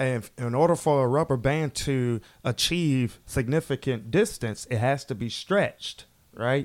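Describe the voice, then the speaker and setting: Here is a man with an unremarkable speaking voice, pitched fairly high. He keeps a moderate pace and ordinary pitch variation. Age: 30s. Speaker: motivational speaker. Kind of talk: casual interview.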